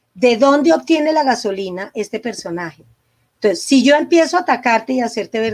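A woman with an unremarkable speaking voice talks at a fairly quick pace, her fairly high pitch moving in lively intonation, on a very clean recording with a silent background. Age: 60s. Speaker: psychologist and couples therapist. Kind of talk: interview conversation.

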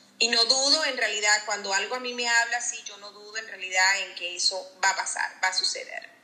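A woman's fairly high voice at a fairly quick pace, hardly any pauses, ordinary pitch variation and music in the background. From Venezuela. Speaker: insurance advisor, former house cleaner. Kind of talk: interview.

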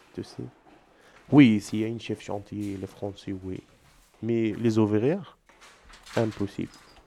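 A man in an Egyptian accent with a dark, mellow tone, a very slow pace, long, frequent pauses, fairly even intonation and big swings in loudness. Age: 20s. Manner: halting, broken French.

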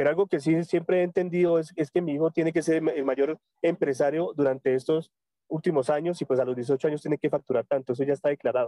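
Very fast speech from a man, fairly high in pitch, with a dark, mellow tone and a dry, close sound with no echo. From Colombia, Tunja, Boyacá. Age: 30s. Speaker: network marketing leader. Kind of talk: motivational training talk. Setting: phone call from a public road. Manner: halting, many repetitions. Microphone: phone mic.

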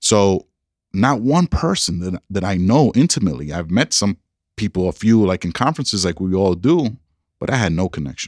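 In a New York accent, a man speaks at a moderate pace and fairly low pitch with very wide pitch swings, in a dry, close sound with no echo and a very clean recording over a silent background. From New York City. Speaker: school superintendent. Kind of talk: casual interview conversation. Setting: office.

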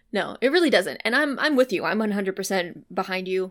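A woman with an American accent and an unremarkable speaking voice talks at a medium pitch with lively intonation. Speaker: podcast co-host. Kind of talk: casual chat.

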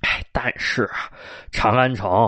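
Against a quiet background, a man with a Beijing accent speaks at a very slow pace. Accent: Beijing Mandarin. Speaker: storyteller. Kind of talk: traditional storytelling. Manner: animated; unhurried.

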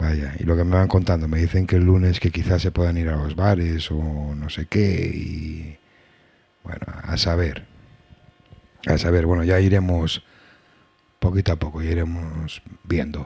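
This man's voice is very deep and low, with flat, monotone intonation. He talks at a fairly slow pace and leaves long, frequent pauses. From Asturias, Spain. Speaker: reggae radio host. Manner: warm, conversational and easygoing; rambling, often restarting sentences.

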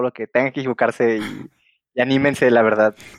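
A man at medium pitch, fairly quick pace and ordinary pitch variation, in a dry, close sound with no echo against a quiet background. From Mexico, Guadalajara. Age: 20s. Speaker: software engineer. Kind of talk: interview. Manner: halting.

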